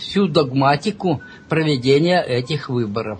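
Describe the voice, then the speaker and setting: Over noticeable background noise, a man speaks very slowly with lively intonation. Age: old. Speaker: self-described scientist and mathematician. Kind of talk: interview. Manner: hesitant, with frequent filler sounds.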